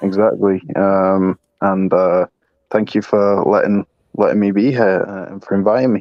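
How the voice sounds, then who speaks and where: In a fairly low voice, a man speaks at a moderate pace with monotone, flat intonation. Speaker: streamer. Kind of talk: casual chat. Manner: halting.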